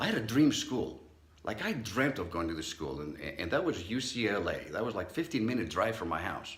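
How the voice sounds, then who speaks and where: Pitch swinging very widely around a medium level, a man speaks at a fairly quick pace in an animated tone. Audible room echo surrounds his voice. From Southern California (immigrant as child). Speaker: psychologist, speaker. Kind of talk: motivational talk. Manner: conversational, animated storytelling.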